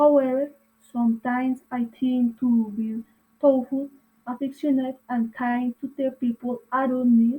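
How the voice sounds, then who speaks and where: In a Colombian accent, a woman speaks fairly slowly with a high pitch, a dark, mellow tone, and monotone, flat intonation. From Colombia, Boyacá (Sogamoso). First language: Spanish. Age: 30s. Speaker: language student. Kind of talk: reading aloud. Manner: halting.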